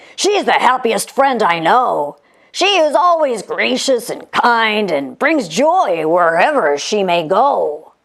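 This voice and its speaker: Putting on a character voice, a woman speaks fairly slowly at a fairly high pitch with very wide pitch swings. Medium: read story. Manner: relaxed, casual.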